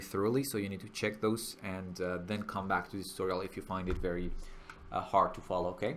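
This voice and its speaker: A man with a fairly low voice talks at a fairly quick clip. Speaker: 3D software tutorial instructor. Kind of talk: tutorial. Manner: frequent filler hesitations.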